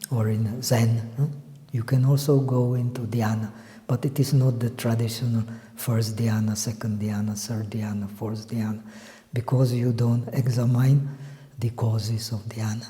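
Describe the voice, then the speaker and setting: A man with a non-native accent speaks at medium pitch and a moderate pace. His intonation is flat and monotone, and room echo is audible. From Czech Republic. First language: not English. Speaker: meditation teacher. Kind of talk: lecture. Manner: halting.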